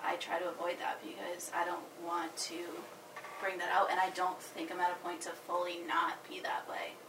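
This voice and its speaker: Amid noticeable background noise and audible room echo, a woman talks at a fairly low pitch with monotone, flat intonation. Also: moderate pace. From Massachusetts, Worcester. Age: 20s. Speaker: young mother. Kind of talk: casual chat. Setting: in person.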